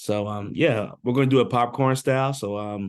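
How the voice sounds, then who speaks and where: Against a quiet background, a man with a Southern US accent talks at medium pitch, fairly slowly, with fairly even intonation. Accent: Southern twang. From US South, Birmingham, Alabama. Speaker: education program facilitator. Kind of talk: online info session, group discussion. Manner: casual, hesitant with many fillers.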